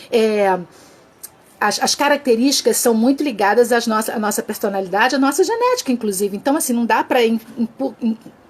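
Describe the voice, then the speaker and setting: A woman talks in a high voice with ordinary pitch variation. Noticeable background noise is present. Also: fairly quick pace. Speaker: communication trainer, live session host. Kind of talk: interactive mini-lecture on Instagram live. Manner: fast; halting, many false starts.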